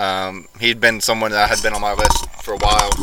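Moderately paced speech from a man, set against noticeable background noise. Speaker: podcast host. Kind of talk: casual chat.

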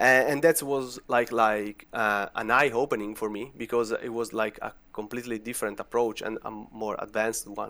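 In a very clean recording with a silent background, a man with an Italian accent speaks at a medium pitch in a bright, sharp tone, hardly pausing at all. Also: fairly even intonation, moderate pace. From Italy. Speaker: vulnerability researcher. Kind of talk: casual interview.

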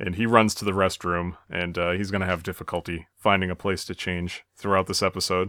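A man speaks at a fairly quick pace in a very deep, low voice with a bright, sharp tone. His delivery is monotone and flat, recorded dry and close with no echo, very clean against a silent background. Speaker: podcast co-host and moderator. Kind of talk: casual chat.

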